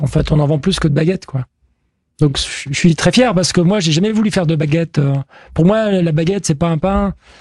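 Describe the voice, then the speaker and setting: Keeping a moderate pace, a man talks in a high voice with ordinary pitch variation. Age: 50s. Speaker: baker. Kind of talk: interview. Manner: halting, with many fillers.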